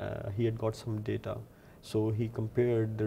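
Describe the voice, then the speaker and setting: A man talks at a moderate speed. Noticeable background noise can be heard too. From Lahore, Pakistan. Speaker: PhD researcher in computational fluid dynamics. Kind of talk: technical research explanation to camera. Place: office. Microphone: lapel.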